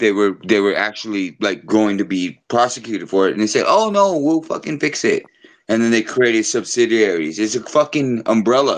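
The speaker has a Hawaiian accent and lively intonation at a moderate pace. The background is quiet. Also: man, medium pitch for a man. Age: 40s. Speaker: retail investor. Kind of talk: casual chat. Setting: online group call. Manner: animated.

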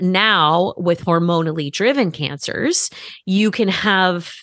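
A woman with an unremarkable speaking voice talks in a fairly low pitch with lively intonation. The background is quiet. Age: 40s. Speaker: breast cancer survivor and wellness coach. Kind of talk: casual interview.

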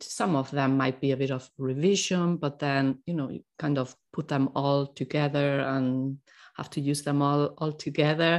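A woman with a Spanish accent speaks at a moderate pace in a very deep, low pitch with fairly even intonation, over a quiet background. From Spain. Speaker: Spanish teacher. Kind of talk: casual interview about a course launch.

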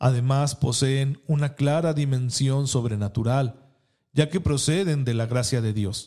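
A man with a dark, mellow tone speaks at medium pitch and a fairly slow pace. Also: ordinary pitch variation. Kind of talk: religious teaching talk. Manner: formal.

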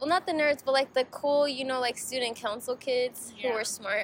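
At a fairly quick pace, a woman with an American accent and a high pitch talks with fairly even intonation. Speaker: podcast host. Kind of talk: casual chat, interview. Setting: cafe, boba shop. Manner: casual, uses slang.

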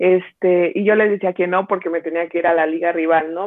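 A woman's fairly low voice with a Mexico City accent, fairly even intonation and a moderate pace. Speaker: softball player. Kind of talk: interview. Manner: hesitant with fillers.

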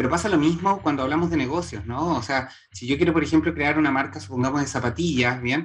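Against noticeable background noise, a man speaks very fast at a fairly high pitch. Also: ordinary pitch variation. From Chile, Santiago. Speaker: chiropractor and entrepreneur. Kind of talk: interview conversation.

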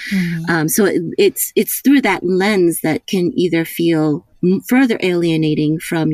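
A woman with an ordinary speaking voice, fairly low in pitch, at a moderate pace with ordinary pitch variation, the sound dry and close with no echo. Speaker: counselor and camp co-director. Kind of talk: casual interview chat. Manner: soft-spoken, quiet to avoid being heard.

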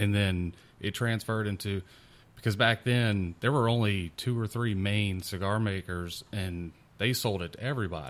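Moderate pace and ordinary pitch variation in a Southern US accent. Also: man, fairly low pitch for a man. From South Mississippi. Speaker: podcast co-host. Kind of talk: casual chat.

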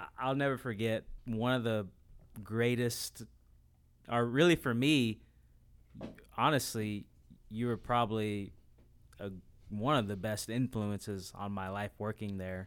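A man speaks at a fairly slow pace in a medium pitch. He leaves long, frequent pauses. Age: 20s. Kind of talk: casual interview on faith. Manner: enthusiastic.

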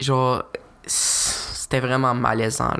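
A man with a Quebec accent speaks at a medium pitch in a bright, sharp tone, his intonation flat and monotone. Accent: Québécois French. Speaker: podcaster. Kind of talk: casual solo monologue. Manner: casual, laughing at own jokes.

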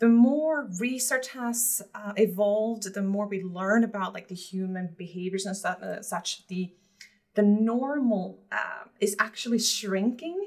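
Medium in pitch with ordinary variation, a woman speaks at a fairly slow pace with big swings in loudness. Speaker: head of people at a hiring tech company. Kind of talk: interview conversation. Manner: talkative.

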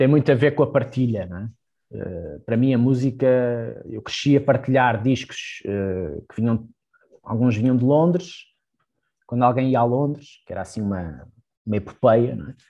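The background is quiet as a man with a European Portuguese accent speaks fairly slowly. His voice sits at medium pitch with a dark, mellow tone. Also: ordinary pitch variation. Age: 40s. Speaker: political analyst. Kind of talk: casual chat. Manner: halting.

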